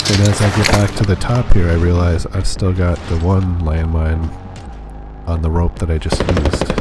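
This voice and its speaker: A man speaks in a calm tone at a very deep, low pitch and a moderate pace. His intonation is fairly even, and the background noise is noticeable. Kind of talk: gameplay commentary. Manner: soft-spoken, calm.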